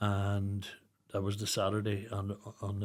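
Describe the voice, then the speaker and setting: Fairly low male voice in a Northern Irish accent at a fairly slow pace, on a very clean recording with a silent background. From Northern Ireland, Newry. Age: 60s. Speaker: charity founder, bereaved father. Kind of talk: podcast interview.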